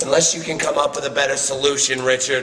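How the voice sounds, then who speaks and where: A man with a fairly high voice, heard with audible room echo and light background noise. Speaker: professional wrestler. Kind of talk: wrestling promo, taunting a rival. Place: studio.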